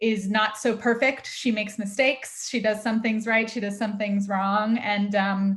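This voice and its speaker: A woman's fairly high voice with an American accent, monotone and flat, at a moderate pace with hardly any pauses. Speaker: film director. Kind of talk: interview Q&A. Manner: hesitant, many fillers.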